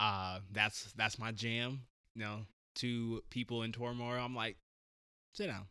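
A man with an American accent and a bright, sharp tone at medium pitch, monotone and flat, at a fairly slow pace with long, frequent pauses, on a very clean recording with a silent background. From US Pacific Northwest, Portland, Oregon. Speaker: couples therapist and podcast host. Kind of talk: casual chat.

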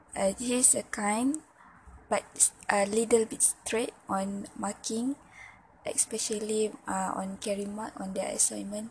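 A woman speaks in a Malaysian accent at a fairly high pitch. Her pace is fairly slow and her intonation fairly even. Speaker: university student. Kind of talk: class assignment monologue. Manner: halting, with many fillers and repetitions.

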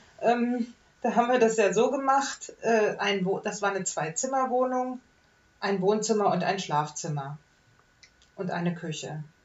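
A woman speaks with a fairly high pitch and lively intonation. Her pauses are long and frequent. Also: fairly slow pace. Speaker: podcast host. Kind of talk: casual chat.

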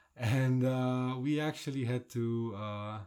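A man's dark, mellow voice with a Polish accent. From Poland. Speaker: podcast host. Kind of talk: casual chat.

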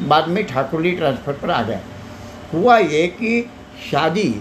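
A man's fairly high-pitched voice with lively intonation, over noticeable background noise. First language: Marathi (speaking Hindi). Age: 80s+. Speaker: retired teacher and social worker. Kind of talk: interview. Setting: wellness clinic.

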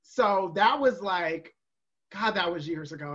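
A woman's animated voice at medium pitch. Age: 30s. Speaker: drag performer and virtual bingo host. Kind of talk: casual chat. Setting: video call.

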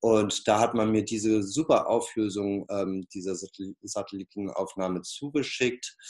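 Fairly even intonation at a fairly slow pace, in a very clean recording with a silent background. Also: man. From northern Germany, Flensburg. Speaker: peace artist. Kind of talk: interview. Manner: many filler sounds, hesitant.

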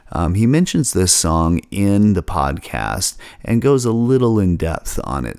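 Here a man speaks with an American accent. His pitch is very deep and low, with very wide swings. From Seattle, US. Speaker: podcast host.

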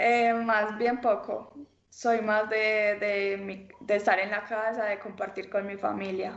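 Room echo is audible around a woman with a fairly high pitch. She speaks very slowly in a flat monotone. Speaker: professional cyclist. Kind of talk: interview. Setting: video call. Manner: hesitant, many fillers.

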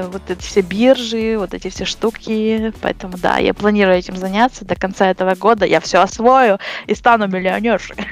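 Noticeable background noise accompanies speech at a moderate pace with fairly even intonation. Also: woman, medium pitch for a woman. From western Ukraine, near Uzhhorod. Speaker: commercial photo retoucher. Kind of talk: casual interview.

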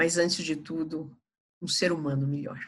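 A woman speaks at a fairly slow pace with a very deep, low pitch and fairly even intonation. Her tone is bright and sharp, and room echo is audible. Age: old. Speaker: palliative care physician. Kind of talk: podcast interview.

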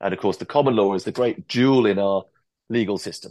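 Against a quiet background, a man with a fairly low pitch speaks with an English accent. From England. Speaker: barrister. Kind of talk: interview. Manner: articulate.

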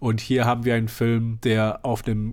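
A man speaks at a medium pitch. The recording is very clean and the background silent. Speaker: film podcast host. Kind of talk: casual chat.

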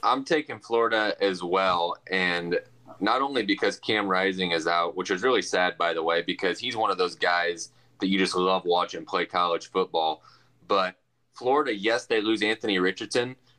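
A man's very deep, low voice at a moderate pace, with ordinary pitch variation and very even loudness, dry and close with no echo, and music in the background. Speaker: sports podcast co-host. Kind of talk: casual sports podcast chat. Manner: hesitant, repeats words.

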